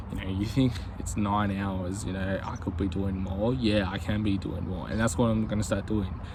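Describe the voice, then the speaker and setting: With audible room echo, a man talks at a moderate pace, his voice fairly low in pitch and his intonation fairly even. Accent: Australian. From Australia. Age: 20s. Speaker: YouTuber, aspiring business owner. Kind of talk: casual vlog monologue. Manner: casual, hesitant with many fillers.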